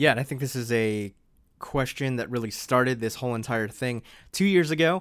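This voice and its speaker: An American-accented man talks fairly quickly at medium pitch with ordinary pitch variation in an unremarkable speaking voice, on a very clean recording with a silent background. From US East Coast. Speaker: podcast host. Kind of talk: solo monologue, self-interview. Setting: home office. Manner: casual, conversational.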